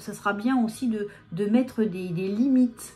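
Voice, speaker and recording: With music playing behind her, a woman speaks at a fairly high pitch with ordinary pitch variation. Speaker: medium giving channeled messages. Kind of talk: live channeled guidance talk to viewers. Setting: filmed on camera under video lights. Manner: hesitant, many fillers and repetitions.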